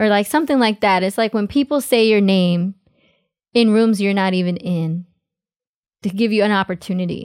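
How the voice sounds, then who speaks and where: Recorded dry and close with no echo on a very clean, silent background, a woman with a New York accent talks at a very even loudness, leaving long, frequent pauses. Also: medium pitch for a woman, ordinary pitch variation, moderate pace. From US, New York City (Queens). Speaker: dancer and choreographer. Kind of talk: casual interview chat.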